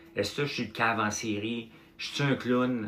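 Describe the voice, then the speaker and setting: A man with a Quebec accent, speaking at a moderate pace. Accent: Québécois French. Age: 50s. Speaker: entrepreneur and farmer livestreamer. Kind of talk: casual livestream chat. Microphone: no microphone, uncharged.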